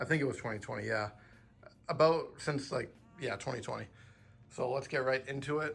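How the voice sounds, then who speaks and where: Here a man speaks at a medium pitch and a fairly quick pace, with fairly even intonation. He takes long, frequent pauses. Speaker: manga collector YouTuber. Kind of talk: casual collection tour video. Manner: fast at times.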